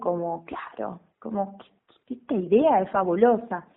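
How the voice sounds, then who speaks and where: Speaking fairly slowly, this woman uses a normal speaking voice at a medium pitch with ordinary variation. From western Buenos Aires province, Argentina. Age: 30s. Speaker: stage actress and theatre teacher. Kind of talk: radio interview.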